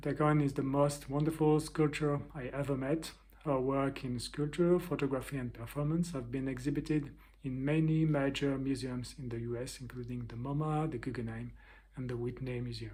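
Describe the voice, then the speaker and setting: Speaking with a French accent at a moderate pace, this somewhat breathy voice has a dark, mellow tone and fairly even intonation, with audible room echo. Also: man, fairly high pitch for a man. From France. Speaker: artist and interviewer.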